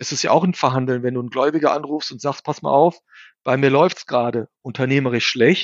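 A man with a normal speaking voice talks at a fairly quick pace and medium pitch, his intonation fairly even but his loudness swinging widely. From Germany, bicultural Turkish family. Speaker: investor and author. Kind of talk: interview.

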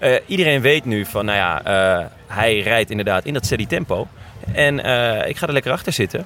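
Music plays in the background as a man talks at a fairly quick pace. His pitch is medium and his intonation lively. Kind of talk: casual chat. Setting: outdoors.

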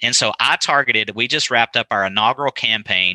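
A man speaks at a fairly low pitch and moderate pace with a bright, sharp tone and ordinary pitch variation. The recording is very clean, with a silent background and a dry, close sound with no echo. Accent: West Texas. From West Texas, small town. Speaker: benefits advisor. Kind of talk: podcast interview.

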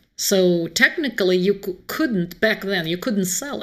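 A woman with a Russian accent speaks at a fairly slow pace with lively intonation. The recording is very clean, with a silent background. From Moscow, Russia. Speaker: author. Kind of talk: casual interview conversation.

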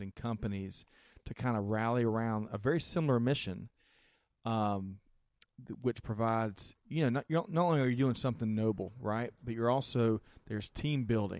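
A man speaks in a plain, everyday voice at a medium pitch. His pitch varies an ordinary amount over a quiet background. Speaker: radio host. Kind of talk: casual radio show hosting. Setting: live broadcast in a studio.

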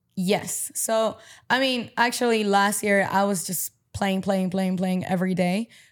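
A woman with a normal speaking voice speaks at a medium pitch on a very clean recording with a silent background. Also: fairly even intonation, fairly slow pace. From Paraguay (Asunción), moved to US at 14. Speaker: padel player, former college tennis player. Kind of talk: casual interview. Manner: casual, filler-heavy (um, like, you know).

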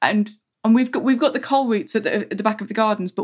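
Somewhat breathy, a woman with an English accent speaks at a fairly high pitch with ordinary pitch variation. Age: 40s. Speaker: magazine wildlife editor. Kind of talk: interview.

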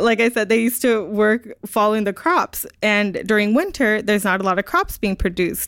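Heard on a very clean recording with a silent background and a dry, close sound with no echo, an ordinary speaking voice with an American accent moves at a fairly quick pace with hardly any pauses, very even loudness, and ordinary pitch variation. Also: woman, fairly high pitch for a woman. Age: 20s. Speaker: youth outdoor nonprofit founder. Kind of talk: interview. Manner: casual, laughs often.

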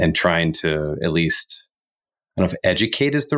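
A man with an American accent speaks at a fairly slow pace with very wide pitch swings. The recording is very clean with a silent background, and the sound is dry and close, with no echo. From US Midwest, Chicago suburbs. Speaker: production team member. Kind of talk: casual roundtable discussion.

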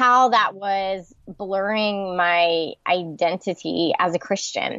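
At a very slow pace, a woman speaks with an American accent. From US South, Charlotte, North Carolina. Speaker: author and pastor's wife. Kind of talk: interview.

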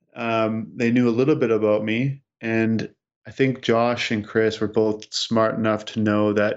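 A man with a Canadian accent and a plain, everyday voice. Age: 30s. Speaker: tech entrepreneur. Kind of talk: interview.

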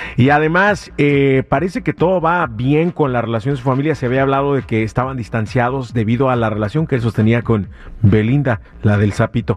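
Talking at a fairly quick pace, a man keeps a medium pitch, ordinary pitch variation and very even loudness. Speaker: radio host. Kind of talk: radio DJ patter, casual gossip banter. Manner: animated, chatty.

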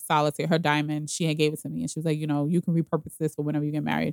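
This woman's voice sits very deep and low. The sound is dry and close, with no echo. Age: 30s. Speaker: podcast guest sharing her relationship story. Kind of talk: casual chat. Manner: talkative, long-winded.

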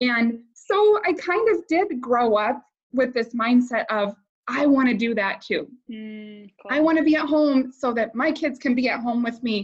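A woman with an American accent and a high pitch talks at a fairly slow pace with lively intonation. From US Midwest, Iowa. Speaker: network marketing leader. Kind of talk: interview.

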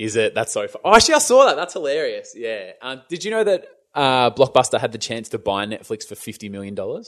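A man talks at a very fast pace with an Australian accent. His loudness swings widely against a quiet background. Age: 30s. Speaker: YouTube creator, former radio presenter. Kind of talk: casual interview chat. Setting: remote call during lockdown.

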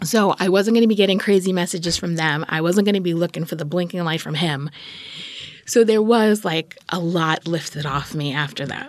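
Against noticeable background noise, a woman with an American accent talks at a fairly quick pace with a fairly low pitch and ordinary pitch variation. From New York, Queens. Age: 40s. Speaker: storyteller. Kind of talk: personal story interview.

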